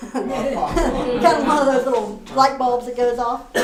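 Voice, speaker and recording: A woman with a West Virginia accent speaks at a high pitch through noticeable background noise. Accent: West Virginia, Appalachian. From Northern Virginia, USA. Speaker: storyteller. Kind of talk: live storytelling performance. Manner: folksy, conversational.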